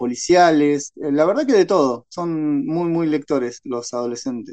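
A man with a fairly high pitch, talking at a very slow pace. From Paraguay, Ciudad del Este. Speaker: novelist and secondary school literature teacher. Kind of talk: interview.

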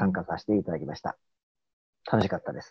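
A man talking at a very fast pace, with vocal fry. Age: middle-aged. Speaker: lecturer and youth mentor. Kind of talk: casual group chat on livestream.

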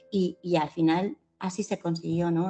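The recording is dry and close with no echo, capturing a woman's fairly low pitch and dark, mellow tone. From Spain, Valencia. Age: 50s. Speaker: novelist. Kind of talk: interview. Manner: halting.

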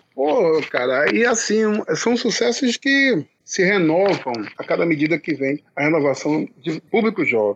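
A man's fairly slow delivery, very wide pitch swings and very even loudness, in a dry, close sound with no echo. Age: middle-aged. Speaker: pagode musician, band founder. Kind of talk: casual interview.

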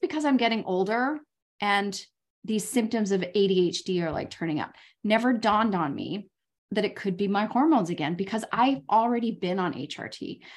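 A woman speaks at a fairly quick pace. Her voice is fairly high. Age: 50s. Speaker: podcast host and life coach. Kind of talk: casual interview chat.

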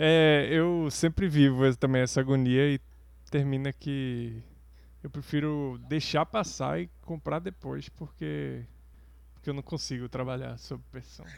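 A man speaks at a fairly slow pace, his loudness rising and falling in big swings. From Brazil. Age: 40s. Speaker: podcast co-host. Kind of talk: casual chat.

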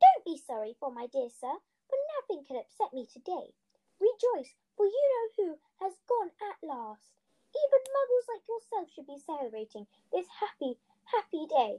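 A woman's squeaky, put-on character voice, extremely high in pitch, with very wide pitch swings and a moderate pace. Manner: joyful, exuberant.

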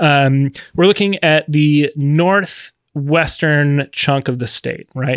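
A man speaks at a very slow pace with fairly even intonation in a fairly high voice, the sound dry and close with no echo. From Minnesota. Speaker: podcast co-host. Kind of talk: casual chat. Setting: studio.

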